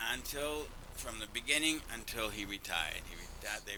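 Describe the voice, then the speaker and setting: The speech comes at a fairly quick pace in an American accent, with noticeable background noise. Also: man. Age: 60s. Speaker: cigar company owner. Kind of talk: casual interview chat.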